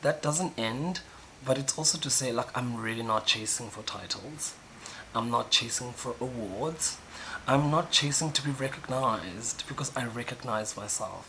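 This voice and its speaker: A man at medium pitch and moderate pace with ordinary pitch variation, over noticeable background noise. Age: 20s. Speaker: YouTuber. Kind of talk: personal video diary monologue. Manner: loud, animated; halting with fillers.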